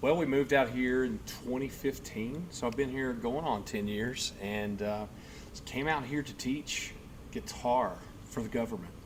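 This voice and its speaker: Here a man speaks with a slight Southern US accent and a medium pitch. His pace is moderate and his pitch varies in an ordinary way. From US South, Middle Tennessee. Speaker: guitar teacher and tribute performer. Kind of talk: casual chat.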